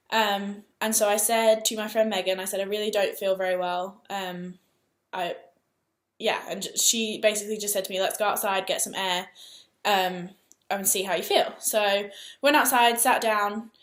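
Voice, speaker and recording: A woman with an English accent is heard in a very clean recording with a silent background. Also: medium pitch for a woman, fairly even intonation. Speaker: vlogger. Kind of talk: personal vlog storytelling. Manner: fast.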